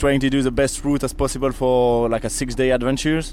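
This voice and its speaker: Noticeable background noise sits behind a man speaking at a moderate pace. His pitch is fairly high. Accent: French. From France. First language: French. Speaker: event media manager. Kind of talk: interview. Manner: hesitant, filler-heavy.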